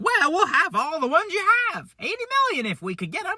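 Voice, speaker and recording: A put-on character voice at a very fast pace with very wide pitch swings. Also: man, extremely high pitch for a man. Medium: read story.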